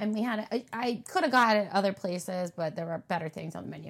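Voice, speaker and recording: A woman speaks at a very fast pace in a medium pitch, with ordinary pitch variation, on a very clean recording with a silent background. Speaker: podcast host. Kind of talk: casual chat.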